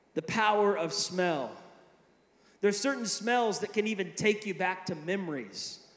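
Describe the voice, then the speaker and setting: Audible room echo surrounds a man's voice. It is high-pitched, with ordinary pitch variation. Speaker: preacher. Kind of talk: sermon. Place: hall. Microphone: handheld.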